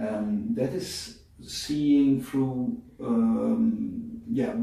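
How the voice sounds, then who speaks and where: Audible room echo colors the recording. The voice is a man's. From Netherlands. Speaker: bodywork method founder. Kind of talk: interview. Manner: hesitant, many fillers.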